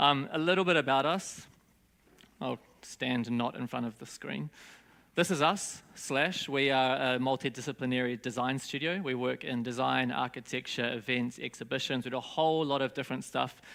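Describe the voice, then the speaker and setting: A man with a bright, sharp tone at a moderate pace, on a very clean recording with a silent background. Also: medium pitch for a man, ordinary pitch variation. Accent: New Zealand. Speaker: design studio founder. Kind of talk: conference talk. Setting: stage with audience. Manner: casual, hesitant with fillers.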